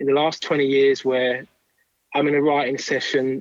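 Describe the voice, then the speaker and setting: A man with an English accent, fairly high in pitch, at a moderate pace. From southern England, Kent. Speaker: songwriter and record producer. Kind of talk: interview.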